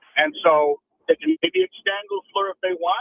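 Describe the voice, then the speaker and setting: A man speaks at a fairly slow pace. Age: 60s. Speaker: caller. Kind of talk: phone-in call. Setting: phone call. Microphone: clear phone line.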